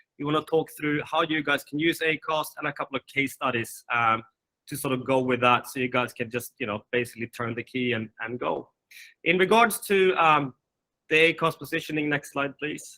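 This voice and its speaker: A man speaks at a fairly high pitch in a bright, sharp tone, with dry, close sound and no echo. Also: ordinary pitch variation, moderate pace. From Sweden and Finland. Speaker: managing director of a podcast company. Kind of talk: webinar presentation.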